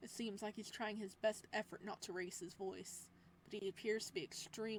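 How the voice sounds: The reading voice is natural, and its intonation stays fairly even.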